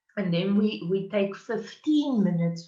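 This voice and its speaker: A woman's somewhat breathy voice, medium in pitch with a dark, mellow tone, ordinary pitch variation and a South African accent. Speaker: university diversity workshop facilitator. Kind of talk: conference presentation. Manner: hesitant, many fillers.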